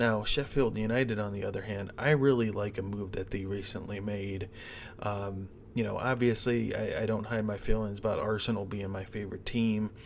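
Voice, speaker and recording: A man with an American accent speaks at a moderate pace in a fairly low, monotone voice with flat intonation. Audible room echo surrounds the recording. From US Midwest, Cleveland, Ohio. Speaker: sports betting host. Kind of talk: sports betting preview monologue. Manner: casual with many fillers.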